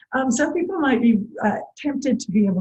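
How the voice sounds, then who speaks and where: Her voice has a dark, mellow tone, somewhat breathy, with ordinary pitch variation. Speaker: early childhood music teacher. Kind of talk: tutorial. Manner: calm.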